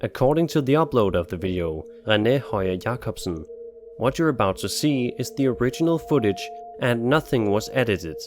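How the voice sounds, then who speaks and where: Over music in the background, a man with a Danish accent talks at a fairly quick pace and a medium pitch, with lively intonation. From Denmark. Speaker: YouTube narrator of scary videos. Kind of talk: scripted narration.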